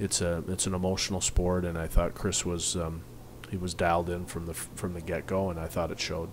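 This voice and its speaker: Noticeable background noise behind a fairly quick pace. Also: man. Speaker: hockey head coach. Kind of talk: interview answer. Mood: calm, pleased after win. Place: hall. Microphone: podium.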